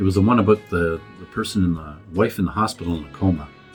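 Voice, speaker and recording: Speech at a very fast pace with ordinary pitch variation, music in the background. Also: man. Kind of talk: casual reaction video talk.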